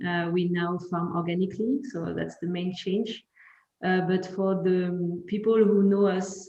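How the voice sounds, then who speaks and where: A woman speaks at a fairly slow pace with a French accent. Her pitch is medium and her intonation is monotone and flat. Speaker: winemaker. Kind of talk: wine tasting presentation. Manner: halting.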